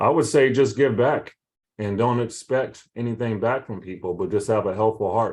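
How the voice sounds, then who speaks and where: Moderate pace and ordinary pitch variation from a man, against a quiet background. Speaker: realtor and broker. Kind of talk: interview on a video call.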